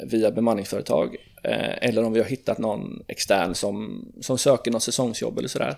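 A man talks at a moderate pace. The recording is very clean, the background silent. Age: 30s. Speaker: tire shop owner and managing director. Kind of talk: casual interview. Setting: at his workplace.

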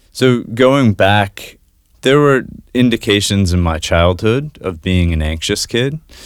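A man with an ordinary speaking voice talks at a fairly slow pace, fairly low in pitch with lively intonation, on a very clean recording with a silent background. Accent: American. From Maine, US. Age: 30s. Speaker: podcast producer. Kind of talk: interview about personal mental health. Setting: studio.

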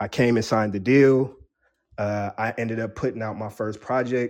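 An unremarkable speaking voice at a moderate pace, with fairly even intonation over a quiet background. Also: man. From San Diego, California (some childhood in the Bronx, New York). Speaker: rapper and producer. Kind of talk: casual interview.

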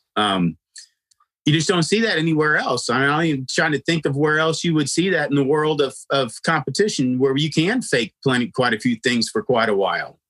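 A man with an American accent speaks at a moderate pace in a fairly high pitch. The sound is dry and close, with no echo. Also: lively intonation. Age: 50s. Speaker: podcast host, horse trainer. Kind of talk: casual interview chat. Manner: halting, many fillers.

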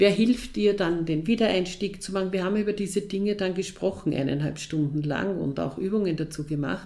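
A woman with a medium pitch talks at a fairly quick pace, with hardly any pauses. Noticeable background noise sits behind her. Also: ordinary pitch variation. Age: 50s. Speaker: head of a girls' counselling organisation. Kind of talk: interview. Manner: hesitant, with many fillers.

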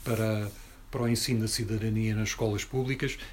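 This man's voice sounds somewhat breathy. He moves along at a fairly quick pace. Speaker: activist and speaker. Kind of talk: talk and discussion with audience.

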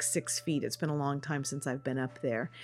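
Music plays in the background as a woman talks with an American accent. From California foothills, Sutter Creek. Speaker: theatre manager. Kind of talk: interview.

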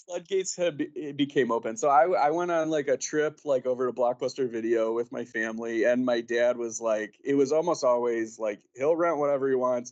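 In a normal speaking voice, the speaker moves at a fairly quick pace with hardly any pauses and ordinary pitch variation. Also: man, medium pitch for a man. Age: 30s. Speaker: film podcaster and writer. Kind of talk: casual chat.

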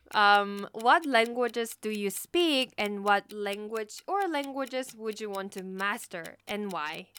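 A woman's bright, sharp tone with a Korean accent and hardly any pauses. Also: fairly high pitch for a woman, lively intonation, fairly slow pace, big swings in loudness. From South Korea. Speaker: podcast co-host. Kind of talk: casual chat.

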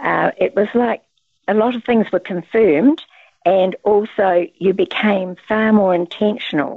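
The woman's pitch sits in the medium range and varies in an ordinary way. She talks at a fairly slow pace. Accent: New Zealand. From New Zealand. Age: 80s. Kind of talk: casual interview chat. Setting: phone or video call.

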